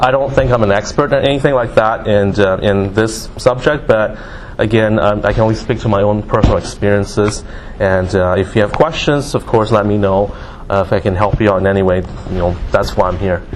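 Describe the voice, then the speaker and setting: With a Canadian accent, a man talks at a fairly quick pace in a fairly low voice with ordinary pitch variation, amid noticeable background noise and audible room echo. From Singapore, moved to Canada as a child. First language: Mandarin. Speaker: guest speaker. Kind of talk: motivational talk. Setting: classroom with audience. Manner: hesitant, many fillers.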